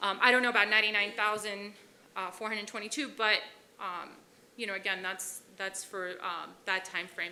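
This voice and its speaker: A woman talks at medium pitch and a moderate pace, her intonation fairly even. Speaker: police officer. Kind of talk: presentation. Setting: city commission chambers. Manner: loud.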